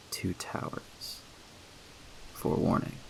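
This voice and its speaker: Over noticeable background noise, a man speaks in a soft-spoken way. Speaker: storyteller. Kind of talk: sleep story.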